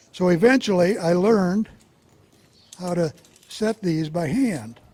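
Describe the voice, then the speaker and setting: A high-pitched man with an American accent, lively intonation and a fairly slow pace, over noticeable background noise. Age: 70s. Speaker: trapper. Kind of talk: demonstration talk. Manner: casual, folksy.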